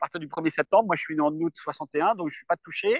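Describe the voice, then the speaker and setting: This man speaks with a high pitch. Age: 60s. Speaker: retired expat farmer. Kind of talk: interview. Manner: halting.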